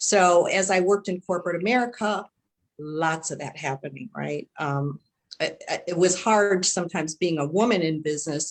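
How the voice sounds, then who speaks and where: In a Chicago accent, a woman speaks at a moderate pace. Her pitch is fairly low. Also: ordinary pitch variation. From US Midwest, Chicago. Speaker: panelist, former corporate manager. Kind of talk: panel discussion.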